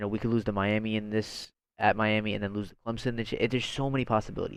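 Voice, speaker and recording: A man with a medium-pitched voice talks at a very fast pace. The background is quiet. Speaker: college football fan vlogger. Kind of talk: casual vlog commentary. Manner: animated.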